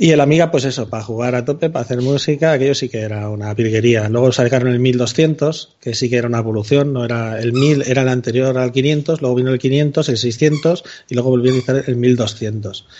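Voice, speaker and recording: With hardly any pauses, a man speaks at a fairly quick pace and a medium pitch. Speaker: podcaster. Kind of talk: casual chat. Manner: animated.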